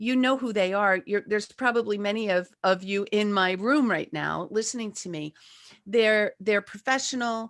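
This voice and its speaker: In a plain, everyday voice, a woman speaks at a moderate pace with a fairly high pitch and ordinary pitch variation, the sound dry and close with no echo. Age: 60s. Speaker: life coach and author. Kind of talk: presentation with slides.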